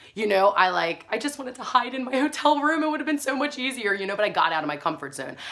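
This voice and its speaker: Over noticeable background noise, a woman sounds animated, with fairly high pitch and very wide pitch swings. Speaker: spiritual wellness vlogger. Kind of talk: casual talk to camera.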